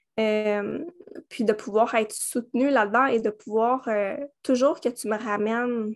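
Speaking very slowly with a Quebec accent, a woman keeps her fairly high voice at a fairly even intonation over a quiet background. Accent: Québécois French. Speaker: holistic coach. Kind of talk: interview. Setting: remote recording with baby in carrier. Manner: hesitant, many fillers.

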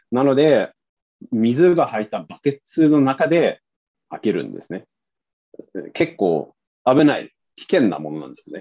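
This man speaks at a fairly slow pace, with big swings in loudness. He leaves long pauses, and often. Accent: Swedish. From Sweden. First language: Swedish (speaking Japanese). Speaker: interview guest. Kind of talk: casual interview chat.

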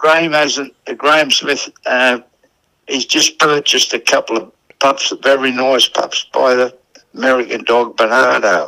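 With a strong Australian accent, a man speaks fairly slowly at a medium pitch, his tone bright and sharp and his intonation fairly even. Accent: broad Australian. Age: 80s+. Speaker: greyhound trainer. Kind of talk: casual interview. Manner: halting.

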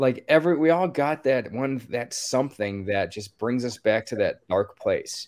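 At a moderate pace, a man with an American accent speaks in a plain, everyday voice at medium pitch. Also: ordinary pitch variation, very clean recording, silent background. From Maryland, US. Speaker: musician and nonprofit founder. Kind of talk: interview answers.

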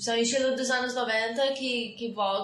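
Audible room echo and noticeable background noise throughout. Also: woman. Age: 20s. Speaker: podcast co-host. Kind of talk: casual chat.

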